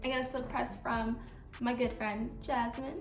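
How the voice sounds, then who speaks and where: Amid audible room echo, a woman with vocal fry and a fairly high pitch speaks at a fairly slow pace. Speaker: beauty vlogger. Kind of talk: tutorial. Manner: casual, chatty.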